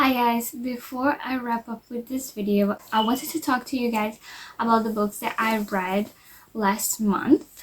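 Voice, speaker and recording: Speaking with a non-native accent, a woman talks at a fairly slow pace in a fairly high pitch with fairly even intonation. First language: not English. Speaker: vlogger. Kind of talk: casual book review vlog.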